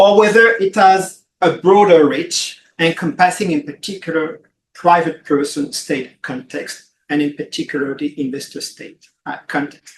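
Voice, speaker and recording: In a French accent, the speaker talks at a fairly slow pace with hardly any pauses, ordinary pitch variation and big swings in loudness. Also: man, high pitch for a man. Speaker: law professor, conference panelist. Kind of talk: conference presentation. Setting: conference room with audience and online viewers. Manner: hesitant, many fillers.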